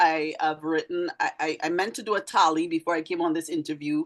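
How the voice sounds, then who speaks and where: A woman speaks fairly quickly with a Trinidadian accent. Her pitch is fairly low, with ordinary variation. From Trinidad and Tobago. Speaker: teacher, poet and author. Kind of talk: interview conversation. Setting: live video stream.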